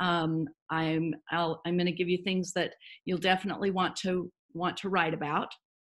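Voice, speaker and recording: Her voice is fairly low for a woman and very even in loudness. She speaks at a moderate pace with flat, monotone intonation. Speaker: midwife and essential oils educator. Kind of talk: online presentation.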